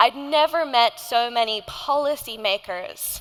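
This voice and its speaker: A woman with an Australian accent speaks in a bright, sharp tone with ordinary pitch variation. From Indonesia. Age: 20s. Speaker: climate activist and nonprofit founder. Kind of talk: keynote speech.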